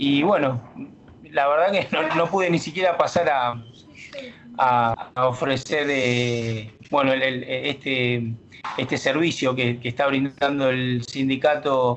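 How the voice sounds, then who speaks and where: Noticeable background noise runs behind a man speaking at a very slow pace. His pitch is medium, with ordinary variation. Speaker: bank union delegate. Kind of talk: casual radio chat. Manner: halting.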